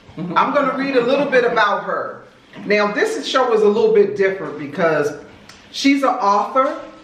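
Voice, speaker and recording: Noticeable background noise under a moderately paced, animated tone. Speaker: video show host. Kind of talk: casual interview chat. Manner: loud.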